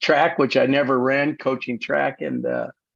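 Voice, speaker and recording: Against a quiet background, a man speaks with an American accent at a medium pitch. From US Midwest, Kansas City. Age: 70s. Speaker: sports agent and sports management educator. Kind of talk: podcast interview. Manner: halting, with repeated words and fillers.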